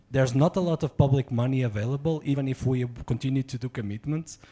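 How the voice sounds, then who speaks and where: The speaker is a man with a medium-pitched voice. His delivery is somewhat breathy. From Portugal. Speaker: diplomat. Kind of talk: audience question at symposium.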